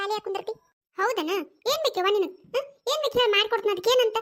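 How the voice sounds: Squeaky and extremely high, a woman's cartoonish character voice moves at a fairly quick pace with ordinary pitch variation.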